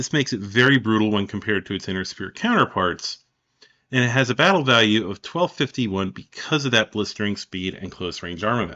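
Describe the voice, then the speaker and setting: The speaker moves at a fairly quick pace. The pitch varies in an ordinary way. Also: man, fairly low pitch for a man. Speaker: podcast host. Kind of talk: reading aloud. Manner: fast.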